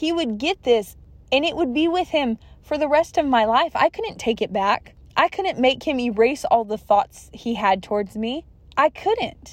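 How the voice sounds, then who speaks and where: Very wide pitch swings at a fairly slow pace, with an American accent and a dry, close sound with no echo. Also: woman, high pitch for a woman. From California. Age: 20s. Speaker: guest sharing testimony. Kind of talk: testimony.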